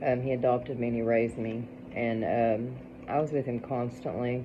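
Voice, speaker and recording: With an Appalachian accent, a woman talks in a very deep, low pitch. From Appalachian Kentucky. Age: 40s. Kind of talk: casual storytelling to camera. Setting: home, dark, during thunderstorm.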